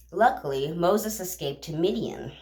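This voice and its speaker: Speaking at a moderate pace, a woman uses a very deep, low pitch with very wide pitch swings and vocal fry. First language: not English. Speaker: bible reading vlogger. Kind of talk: casual retelling of scripture. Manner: halting, with fillers.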